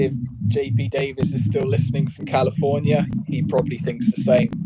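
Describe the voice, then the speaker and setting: A man's medium-pitched voice with a British accent, lively intonation and a fairly quick pace. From Britain. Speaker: podcast co-host. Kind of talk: casual chat. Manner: hesitant, many fillers; can be quick to interrupt.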